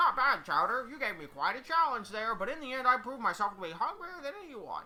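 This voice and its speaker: In a put-on character voice that sounds female, the speaker rattles along at a very fast pace with a high pitch for a woman. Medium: game stream. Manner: cocky, casual.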